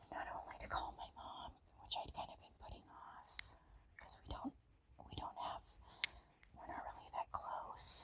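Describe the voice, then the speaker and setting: A woman speaks in a whisper at a moderate pace. Long pauses come often between her words. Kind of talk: ASMR storytime chitchat. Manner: soft-spoken.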